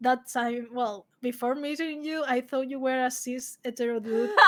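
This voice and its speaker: Here a woman talks at a high pitch. Her pace is fairly slow and her intonation fairly even. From Spain. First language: Spanish. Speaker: streaming guest. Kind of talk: casual chat. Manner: halting, searching for words.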